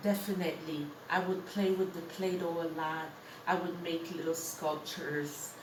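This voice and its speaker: A woman with a fairly low pitch, monotone, flat intonation and a moderate pace, with noticeable background noise and audible room echo. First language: French. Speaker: interviewee, artist. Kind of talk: casual interview.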